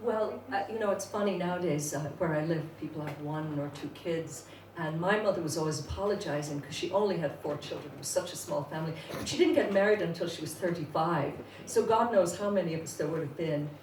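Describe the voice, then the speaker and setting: A woman with an American accent speaks at a fairly quick pace in a fairly low pitch, her loudness swinging widely and her pitch varying an ordinary amount. Room echo is audible, and there is noticeable background noise. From Ireland, Dublin, working class. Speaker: poet. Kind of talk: interview. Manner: hesitant, many fillers.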